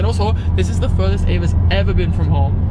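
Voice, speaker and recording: The sound is dry with no echo, but loud background noise runs underneath. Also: man. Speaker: vlogger driving. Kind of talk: casual vlog chat. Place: car. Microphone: phone near.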